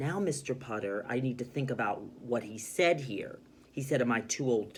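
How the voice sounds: Pitch moves in an ordinary way. The reading voice is natural.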